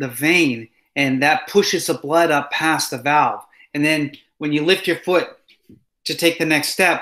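The background is quiet as a man talks at a fairly slow pace. His pitch variation is ordinary. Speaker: instructor. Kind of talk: lecture. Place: home room. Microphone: webcam.

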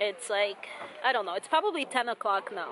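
Against noticeable background noise, a woman speaks at a moderate pace with a dry sound and no echo. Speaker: travel vlogger. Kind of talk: casual vlog chat. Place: waterside. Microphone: phone near.

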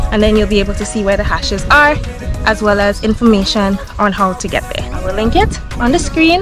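A woman speaks at a fairly quick pace over clear background music, the sound dry with no echo. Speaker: travel vlogger. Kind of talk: casual vlog chat. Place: open country. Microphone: phone near.

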